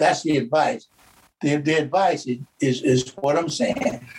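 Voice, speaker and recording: With a somewhat breathy voice, a man at a fairly high pitch speaks with ordinary pitch variation. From Georgia, US South. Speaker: church member, guest. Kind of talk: casual interview.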